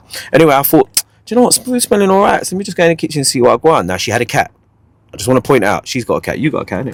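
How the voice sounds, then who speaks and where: A man with a London accent talks at a very fast pace in a fairly high pitch, his animated tone full of very wide pitch swings and vocal fry, recorded in a dry, close sound with no echo. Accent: London Multicultural English. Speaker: podcast host, MC. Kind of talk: casual chat, comedic storytelling.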